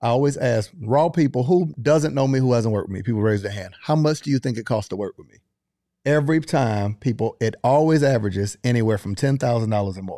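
This man speaks very fast in a Southern US accent, with a dark, mellow tone. His intonation is lively and his loudness swings widely. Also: medium pitch for a man, very clean recording, silent background. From US South. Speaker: business consultant. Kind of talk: casual chat.

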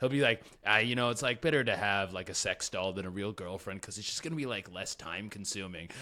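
A man speaks very fast at a fairly low pitch, with hardly any pauses and ordinary pitch variation. His tone is bright and sharp, and the recording is very clean with a silent background. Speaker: podcast co-host. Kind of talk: casual comedy chat. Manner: laid-back, casual.

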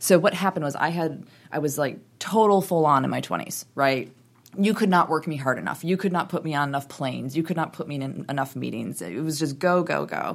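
An American accent with vocal fry at a fairly quick pace, on a very clean recording with a silent background. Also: woman, very deep, low pitch for a woman, ordinary pitch variation. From US Midwest, Wisconsin. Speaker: brand strategist, company founder. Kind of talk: interview.

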